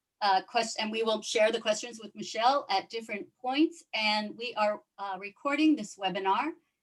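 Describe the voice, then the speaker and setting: Here a woman talks in a fairly high pitch with ordinary pitch variation. She leaves hardly any pauses. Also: moderate pace. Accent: slight New York. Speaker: yacht club commodore and event organizer. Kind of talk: webinar introduction. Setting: video call.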